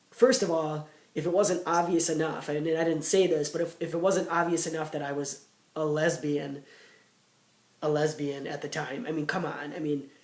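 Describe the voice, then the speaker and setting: Audible room echo surrounds a man with a fairly high pitch. He talks at a moderate pace with fairly even intonation. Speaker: vlogger. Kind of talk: casual chat. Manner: halting, many fillers.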